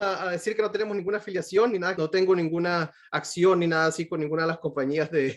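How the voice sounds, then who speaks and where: Fairly quick speech against a quiet background. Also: man. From Venezuela. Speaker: pediatric cardiologist. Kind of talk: lecture. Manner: halting, many fillers and repetitions.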